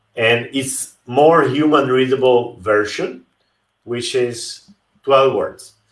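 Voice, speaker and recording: Against a quiet background with audible room echo, a man talks at a very slow pace with fairly even intonation. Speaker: livestream host teaching crypto wallets. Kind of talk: tutorial. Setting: live stream with screen share. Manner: slow, deliberate; hesitant, repeats words. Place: home room.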